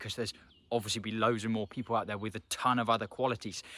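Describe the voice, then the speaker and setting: A man's medium-pitched voice, bright and sharp in tone, on a very clean recording with a silent background. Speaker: hair loss motivational vlogger. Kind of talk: motivational vlog talk to camera. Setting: outdoors in a forest.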